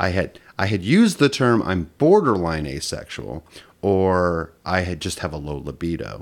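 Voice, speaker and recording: The voice moves at a moderate pace with vocal fry and lively intonation, recorded very cleanly against a silent background. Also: man, very deep, low pitch for a man. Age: 40s. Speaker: podcast guest. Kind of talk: casual chat. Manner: halting.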